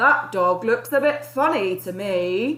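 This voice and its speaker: Using a put-on character voice, a woman talks at a fairly slow pace with fairly high pitch. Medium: read story.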